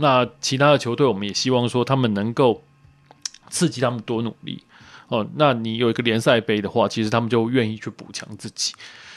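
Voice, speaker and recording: A normal speaking voice, this man's medium-pitched delivery runs at a fairly quick pace with fairly even intonation. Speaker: women's football league organizer. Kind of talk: casual chat.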